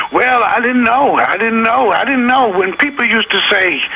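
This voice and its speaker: A man's extremely high, raised, projected voice in an American accent, fairly slow with ordinary pitch variation, over noticeable background noise. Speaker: blues singer-songwriter. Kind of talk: radio interview.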